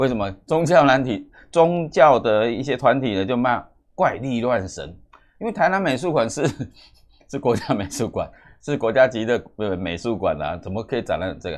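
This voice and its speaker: A man with a Taiwanese accent speaks with very wide pitch swings over a quiet background. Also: moderate pace. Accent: Taiwanese Mandarin. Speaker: news commentary host; news commentator. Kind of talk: news commentary monologue; current affairs commentary. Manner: halting, many fillers and repetitions.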